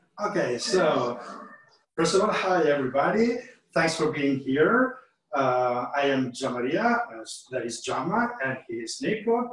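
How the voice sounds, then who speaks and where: A man with an Italian accent and a fairly high pitch speaks at a fairly slow pace, his pitch swinging very widely. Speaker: chef. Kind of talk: online cooking class. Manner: halting.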